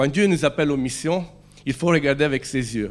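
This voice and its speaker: The speaker is a man. He has an Italian accent. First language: Italian (speaking French). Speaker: preacher. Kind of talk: sermon. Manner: halting.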